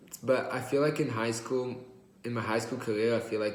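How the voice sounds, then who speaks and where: With audible room echo, a man speaks at a medium pitch and with fairly even intonation. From Israel, then California Bay Area from age 8. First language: Hebrew. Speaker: college student. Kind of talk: class presentation. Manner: hesitant, many uh fillers.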